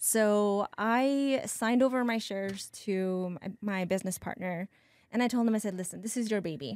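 An ordinary speaking voice belongs to a woman at medium pitch, who talks at a moderate pace with ordinary pitch variation. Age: 40s. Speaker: massage therapist and birth doula. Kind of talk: casual chat.

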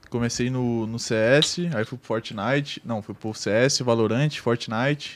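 A man with a slight gaúcho accent talks at a very slow pace and medium pitch, with hardly any pauses. His intonation is fairly even, though his loudness swings widely. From Rio Grande do Sul, Brazil. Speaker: online game roleplayer. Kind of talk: casual chat.

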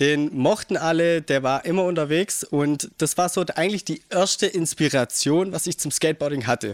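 An unremarkable speaking voice with ordinary pitch variation comes through in a dry, close sound with no echo. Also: man. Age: 20s. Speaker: skateboarder and office clerk. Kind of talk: casual chat. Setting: host's living room.

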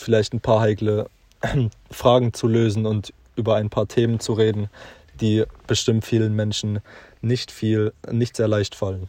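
Against a quiet background, a man speaks at a moderate pace in a medium-pitched voice with a dark, mellow tone. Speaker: podcast co-host. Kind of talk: casual chat.

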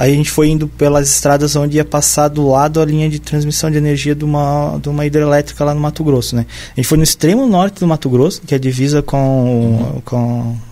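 A man's fairly high voice with a dark, mellow tone and hardly any pauses. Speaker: biologist. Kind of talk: casual chat.

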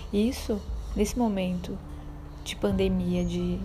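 A woman talks amid noticeable background noise, her voice carrying audible room echo. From Belém, Pará, northern Brazil. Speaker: podcast host, visual artist and educator. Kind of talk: book review monologue.

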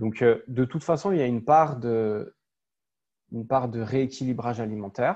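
Against a quiet background, a man speaks at a medium pitch with ordinary pitch variation. His pace is fairly slow. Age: 30s. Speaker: personal trainer. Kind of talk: interview. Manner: halting, many repetitions.

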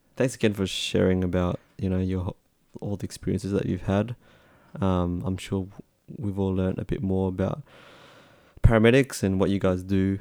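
A man's very deep, low voice with an Australian accent, dark, mellow tone, fairly even intonation and long, frequent pauses. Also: moderate pace. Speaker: podcast host. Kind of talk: casual chat.

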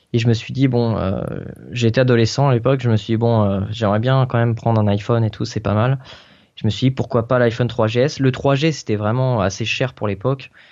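Fairly even intonation marks this man's speech. He talks at medium pitch and a moderate pace. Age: 20s. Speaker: tech blogger. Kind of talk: casual interview. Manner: hesitant, many fillers.

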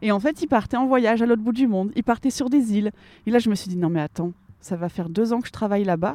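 Dry, close sound with no echo, and a woman's fairly high, dark, mellow voice with lively intonation at a very fast pace. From northern France, Lille. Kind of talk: interview. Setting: outdoors.

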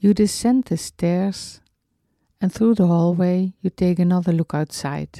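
The voice has a dark, mellow tone and a calm, soothing delivery at a fairly slow pace. The recording is very clean with a silent background and a dry, close sound with no echo. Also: woman. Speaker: meditation teacher. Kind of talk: guided meditation. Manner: slow, calm, soothing, gently paced with long pauses; soft-spoken, tender.

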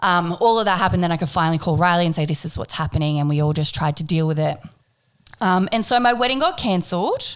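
Very fast talking from a woman with a fairly low pitch. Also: ordinary pitch variation. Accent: Australian. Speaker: podcast host. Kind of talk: casual chat; scripted intro.

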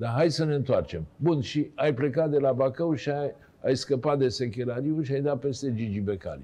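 A man has an unremarkable speaking voice at a medium pitch. He talks at a moderate pace with ordinary pitch variation. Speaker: TV talk show host. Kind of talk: casual interview chat. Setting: studio.

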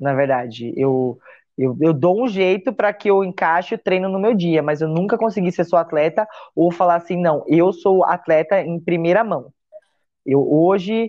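The intonation is lively. The pace is moderate. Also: woman, fairly low pitch for a woman. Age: 30s. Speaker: CrossFit athlete and coach. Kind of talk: casual interview chat. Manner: halting, many repetitions.

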